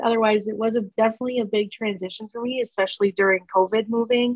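At a fairly quick pace, the intonation stays fairly even. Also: woman.

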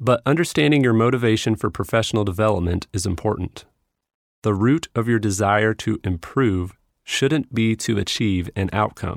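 The man has a plain, everyday voice with a fairly low pitch, ordinary pitch variation and a moderate pace. The recording is very clean, with a silent background and a dry, close sound with no echo. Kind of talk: audiobook reading. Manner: measured, steady narration; earnest, instructive.

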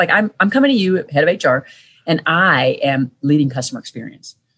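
A woman talks in a somewhat breathy voice. Her pitch swings very widely from moment to moment. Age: 40s. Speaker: author and leadership consultant. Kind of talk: interview.

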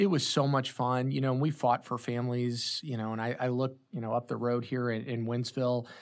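A plain, everyday voice with an American accent moves at a fairly quick pace with hardly any pauses and fairly even intonation, on a very clean recording with a silent background. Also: man, medium pitch for a man. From St. Louis metro, Illinois side (Granite City). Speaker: tech company co-founder and CEO. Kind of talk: interview conversation.

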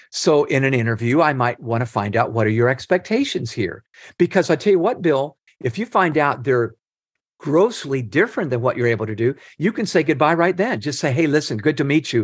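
Against a quiet background, a man with an unremarkable speaking voice talks at a fairly quick pace in a fairly high voice with lively intonation. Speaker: leadership author and nonprofit founder. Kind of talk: interview.

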